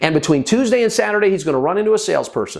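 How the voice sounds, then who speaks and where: A man's intonation rises and falls in a lively way, with hardly any sound behind him. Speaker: sales trainer. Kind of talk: tutorial. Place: studio. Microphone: lapel.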